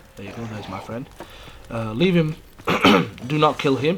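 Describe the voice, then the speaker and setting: The speech is mumbled. Noticeable background noise sits underneath it. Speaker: gaming YouTuber. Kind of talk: gameplay commentary. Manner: mumbling; hesitant, with many fillers.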